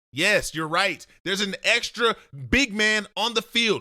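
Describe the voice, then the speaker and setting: A man's raised, projected voice, high in pitch and bright and sharp in tone, animated, at a moderate pace with ordinary pitch variation. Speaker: football film analyst. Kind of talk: football film breakdown.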